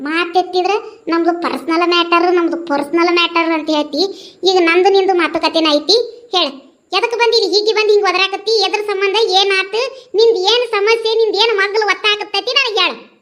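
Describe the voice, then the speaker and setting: Putting on a cartoonish character voice at an extremely high pitch, a woman speaks at a moderate pace with very even loudness. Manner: scornful, commanding.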